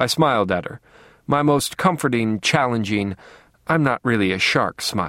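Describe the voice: Lively intonation runs through this plain read-aloud delivery.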